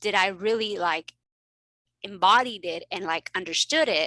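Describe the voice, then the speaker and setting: A woman's medium-pitched voice, bright and sharp in tone, with lively intonation and a dry, close sound free of echo. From Mexico, then South Texas. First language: Spanish. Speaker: family physician and coach. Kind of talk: casual interview chat. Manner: animated.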